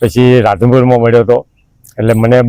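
A dark, mellow tone carries speech whose intonation is monotone and flat. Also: man. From Radhanpur, north Gujarat. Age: 60s. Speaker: village poet and songwriter. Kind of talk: interview.

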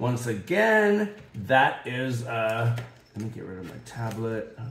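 Speaking at a very slow pace, a man uses a medium pitch. Audible room echo is present. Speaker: diamond painting crafter. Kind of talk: casual chat. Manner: halting, many fillers.

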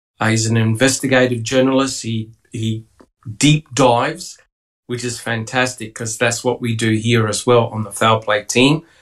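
At a moderate pace, a man talks in a flat monotone at medium pitch against a quiet background. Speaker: livestream podcast host. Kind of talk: casual panel discussion and reading aloud. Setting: video call. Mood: relaxed, welcoming. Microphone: video call.

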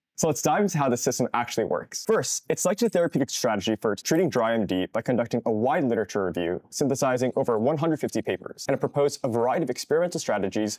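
Talking very fast with hardly any pauses, a man uses lively intonation over a quiet background. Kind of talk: interview explanation.

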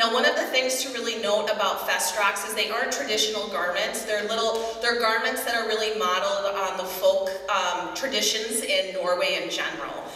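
The speech moves at a moderate pace. Audible room echo surrounds it. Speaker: fashion show emcee. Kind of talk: live event narration. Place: church.

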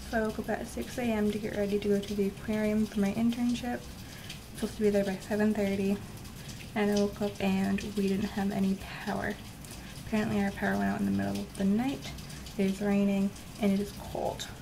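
Against noticeable background noise, a woman speaks at a fairly quick pace with monotone, flat intonation. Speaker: reptile keeper vlogger. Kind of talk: casual vlog chat. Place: home room. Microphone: phone near.

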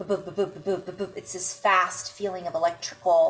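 Faint music plays in the background. The speaker is a woman. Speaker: intuitive healer vlogger. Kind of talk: casual vlog chat. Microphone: webcam.

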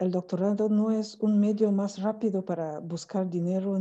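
Against a quiet background, a woman talks in a dark, mellow tone with flat, monotone intonation. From Cameroon. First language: not Spanish (French or Cameroonian language) (speaking Spanish). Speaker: academic, PhD in languages. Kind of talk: online conference talk. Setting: video call from Cameroon. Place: home room. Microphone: earbuds.

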